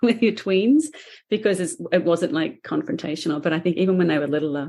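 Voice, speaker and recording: Very fast and lively in intonation, a woman speaks at a fairly low pitch in a dark, mellow tone on a very clean recording with a silent background. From Australia. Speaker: painter and author. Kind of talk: podcast interview.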